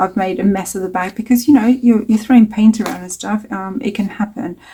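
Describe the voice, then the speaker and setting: A somewhat breathy woman's voice at medium pitch with fairly even intonation. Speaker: mixed media artist. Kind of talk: tutorial. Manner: casual, hesitant with many fillers.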